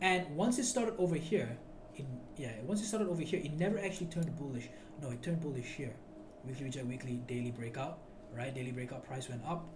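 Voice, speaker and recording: A man speaks at a very fast pace with lively intonation and a fairly high pitch. Audible room echo and noticeable background noise surround his voice. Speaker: trading educator. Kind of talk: screen-share trading tutorial. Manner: loud; animated.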